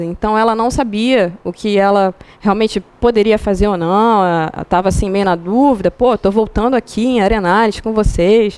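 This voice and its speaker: At a moderate pace, a normal speaking voice keeps a fairly even intonation. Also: woman, medium pitch for a woman. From Rio de Janeiro. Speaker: rock climber. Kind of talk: talk to a club audience. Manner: casual.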